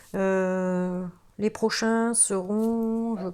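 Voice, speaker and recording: A woman with a northern French accent speaks at a fairly high pitch. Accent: northern French (ch'ti). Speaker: tarot card reader. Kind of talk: tarot reading video, casual address to viewers. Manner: hesitant, many fillers and restarts.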